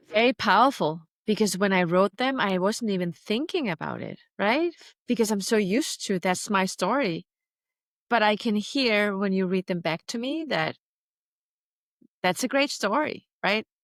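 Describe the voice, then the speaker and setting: Using lively intonation and long, frequent pauses, a woman of medium pitch speaks with a non-native accent in a dry, close sound with no echo. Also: moderate pace, very clean recording, silent background. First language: not English. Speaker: tech founder and public speaker. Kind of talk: interview conversation.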